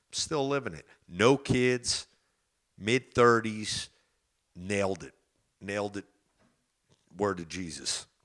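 In a New Jersey accent, a man speaks very slowly at a fairly low pitch with ordinary pitch variation, long, frequent pauses and big swings in loudness. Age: 30s. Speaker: podcast host. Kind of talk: casual monologue. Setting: studio.

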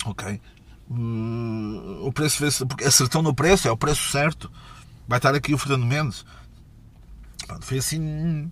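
Speaking with a European Portuguese accent, a man sounds animated and somewhat breathy, moving at a fairly slow pace with ordinary pitch variation and long, frequent pauses. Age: 30s. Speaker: podcast host. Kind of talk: casual monologue. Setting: mobile studio.

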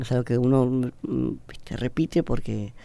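The man's tone is dark and mellow. His pitch moves in an ordinary way. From Argentina, Buenos Aires. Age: 30s. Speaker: seminarian. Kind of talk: radio interview testimony. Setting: radio studio.

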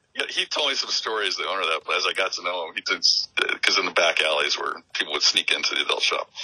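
In an American accent, this speaker goes at a very fast pace with hardly any pauses. The sound is dry and close with no echo, though background noise is noticeable. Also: man. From Phoenix, Arizona. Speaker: artist. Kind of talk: casual chat. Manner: halting.

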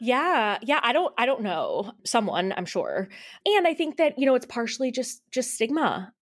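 A woman with an American accent speaks at a high pitch. She talks at a moderate pace with very wide pitch swings. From US Midwest. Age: 20s. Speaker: business owner. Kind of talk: casual interview.

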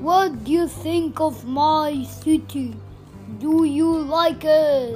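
A put-on character voice moves at a very slow pace, with clear music playing in the background. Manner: stern, commanding.

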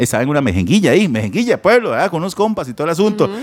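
Very wide pitch swings mark this voice with a Costa Rican accent. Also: man. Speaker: podcast co-host. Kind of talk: casual chat.

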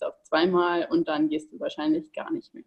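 A woman talks at a moderate pace in an ordinary speaking voice. Her pitch sits in the medium range with ordinary variation. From Bavaria, Ingolstadt. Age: 20s. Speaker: online nutrition coach. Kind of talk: interview.

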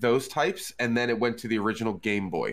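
A man at a medium pitch and a moderate pace, with music in the background. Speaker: drummer, gamer and streamer. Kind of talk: casual chat.

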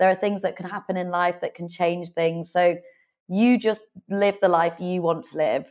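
In a very clean recording with a silent background, a woman speaks at a fairly low pitch with fairly even intonation. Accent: British. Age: 30s. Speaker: author and business owner. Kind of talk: interview.

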